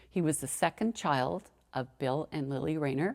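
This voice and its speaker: A woman speaks in a Canadian accent at a moderate pace with ordinary pitch variation. The recording is very clean, with a silent background. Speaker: family storyteller. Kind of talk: personal memoir narration.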